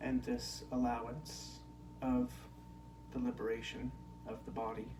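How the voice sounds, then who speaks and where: Amid noticeable background noise and audible room echo, a man speaks in a relaxed tone at a fairly slow pace with long, frequent pauses. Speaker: spiritual teacher. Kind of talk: spiritual talk. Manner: natural pitch, not raised in volume; slow, relaxed.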